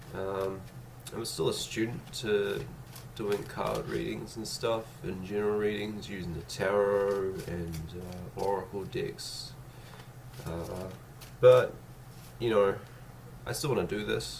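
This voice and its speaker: Over noticeable background noise, a man with a fairly low pitch speaks at a very slow pace with long, frequent pauses and lively intonation. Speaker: tarot card reader. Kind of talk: tarot reading to camera.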